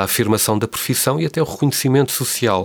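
A man speaks with ordinary pitch variation. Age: 50s. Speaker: postgraduate program coordinator, archivist. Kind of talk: interview. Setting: studio. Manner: halting.

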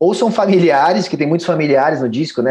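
Here is a man whose tone comes across as dark and mellow. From Brazil, São Paulo. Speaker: singer-songwriter. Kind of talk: interview. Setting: remote internet call. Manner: halting, many repeated words.

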